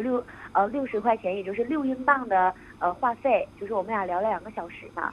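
A woman with a fairly high pitch speaks at a very fast pace. Her loudness swings a lot while her pitch varies in an ordinary way. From Northeast China. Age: 20s. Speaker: student abroad. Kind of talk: phone-in confession.

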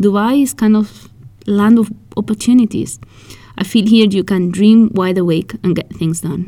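In a dark, mellow tone, a woman talks at a moderate pace with ordinary pitch variation. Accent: Spanish. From Spain. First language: Spanish. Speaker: podcast host and fashion magazine founder. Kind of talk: scripted podcast monologue.

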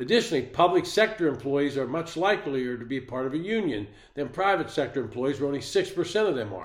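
A man with an American accent talks in a normal speaking voice, fairly high-pitched and lively in intonation, moving at a fairly quick pace with hardly any pauses. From western Pennsylvania, near Pittsburgh. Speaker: political commentary podcaster. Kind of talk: solo political commentary monologue. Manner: measured, read-from-script delivery.

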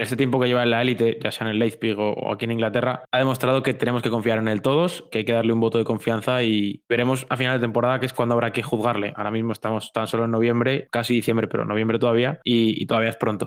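A man with a Madrid accent talks very fast, with hardly any pauses. His medium-pitched voice stays monotone and flat. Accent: Castilian Spanish (Madrid). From Madrid, Spain. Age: young (19). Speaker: university student and tech journalist, football fan. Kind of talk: interview.

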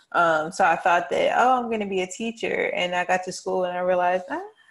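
Woman with a North Carolina accent, medium pitch and ordinary pitch variation at a fairly quick pace, on a very clean recording with a silent background. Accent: US South, North Carolina. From Charlotte, North Carolina. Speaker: PR specialist. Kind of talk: casual chat.

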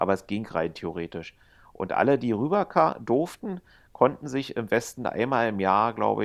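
With a quiet background, a man in a plain, everyday voice speaks at a moderate pace with ordinary pitch variation. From East Germany. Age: 50s. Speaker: casino employee and dragon boat organizer. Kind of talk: casual chat. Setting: remote call from home, lying on couch.

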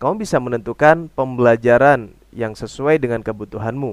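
In a normal speaking voice, a man talks at a moderate pace and medium pitch with ordinary pitch variation. The recording is very clean, the background silent. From Indonesia. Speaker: language teacher podcaster. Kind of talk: tutorial.

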